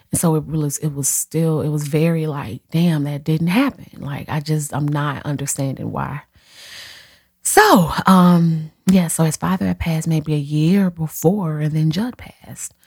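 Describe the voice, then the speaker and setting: A woman talks at a fairly slow pace with a very deep, low pitch. Her voice is somewhat breathy, with ordinary pitch variation. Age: 30s. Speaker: podcast host and hairstylist. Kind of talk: casual solo podcast monologue. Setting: home office. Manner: animated.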